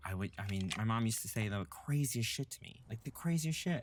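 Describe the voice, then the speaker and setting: Speaking with an American accent, a man sounds somewhat breathy. His pitch is fairly low, with ordinary variation. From US South, Louisiana. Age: 30s. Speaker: drag performer and singer. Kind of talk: documentary interview. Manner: casual, filler-heavy.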